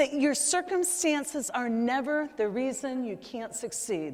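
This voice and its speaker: A high-pitched woman at a fairly slow pace, her intonation lively, over noticeable background noise. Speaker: leadership keynote speaker. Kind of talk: conference keynote speech. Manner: high-energy, humorous.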